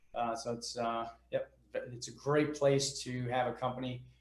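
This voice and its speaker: There is audible room echo as a man speaks at a medium pitch with fairly even intonation. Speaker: real estate investor and business owner. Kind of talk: podcast interview.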